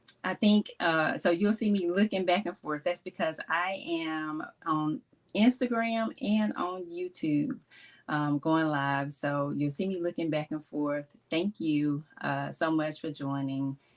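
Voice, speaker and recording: A woman with a Mississippi accent, fairly low in pitch, at a fairly slow pace with lively intonation. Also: very clean recording, silent background. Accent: Mississippi Southern. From US South, Mississippi. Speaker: gift strategist, small business owner. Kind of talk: live stream talk. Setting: live stream on Instagram and YouTube.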